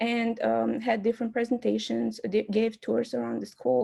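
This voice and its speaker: A woman talks with an Albanian accent. Her pace is moderate. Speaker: student club candidate. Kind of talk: candidate speech. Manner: hesitant, many fillers.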